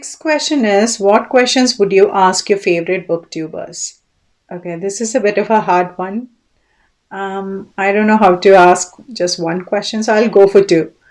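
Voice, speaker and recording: A woman with a Keralan accent speaks at a moderate pace, her pitch medium with ordinary variation and big swings in loudness. The recording is very clean, with a silent background. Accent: Indian English (Malayali). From Kerala, India. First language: Malayalam. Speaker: book vlogger. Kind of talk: casual monologue (tag video). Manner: occasionally halting.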